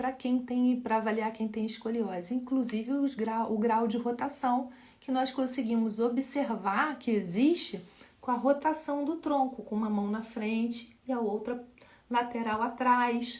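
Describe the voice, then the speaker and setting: The speech comes at a fairly slow pace, with audible echo in the room. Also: woman, high pitch for a woman. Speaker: physiotherapist teaching live. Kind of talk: live Q&A lecture.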